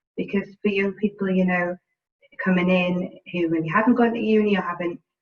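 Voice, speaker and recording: A woman with a British accent, medium pitch, fairly even intonation and a fairly quick pace. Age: 30s. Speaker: housing sector professional. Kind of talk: panel discussion.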